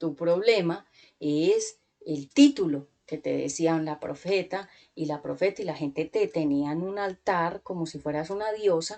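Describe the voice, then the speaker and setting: A normal speaking voice from a woman, fairly low-pitched, fairly slow, with ordinary pitch variation. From Colombia. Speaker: preacher. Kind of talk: sermon.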